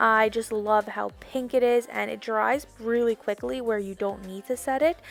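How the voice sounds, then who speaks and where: A woman speaks at a moderate pace in a fairly high pitch. Her pitch varies in an ordinary way. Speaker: beauty youtuber. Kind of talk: tutorial voiceover. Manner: loud; animated.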